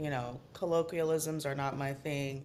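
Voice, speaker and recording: Noticeable background noise accompanies a woman's voice. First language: Spanish. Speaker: screenwriter and director. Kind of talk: casual chat.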